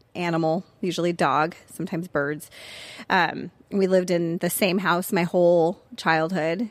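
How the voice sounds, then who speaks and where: A woman with an American accent speaks at a moderate pace in a fairly low pitch with monotone, flat intonation, on a very clean recording with a silent background. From US West Coast, Orange County, California. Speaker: former university professor and writer. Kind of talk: casual interview about faith testimony.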